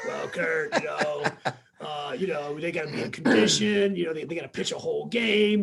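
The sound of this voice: A man puts on a character voice, high-pitched, gravelly and raspy, with lively intonation. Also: moderate pace.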